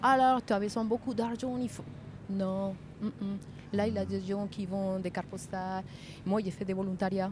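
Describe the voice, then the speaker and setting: With long, frequent pauses, a woman speaks at a moderate pace and a medium pitch, her intonation fairly even. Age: 50s. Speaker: passerby, cycling traveller. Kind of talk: casual chat. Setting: outdoors.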